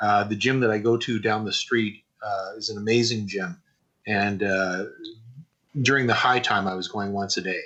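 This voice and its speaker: A man with a fairly low pitch and an ordinary speaking voice talks at a moderate pace with fairly even intonation. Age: 60s. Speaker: animator and animation teacher. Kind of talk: interview.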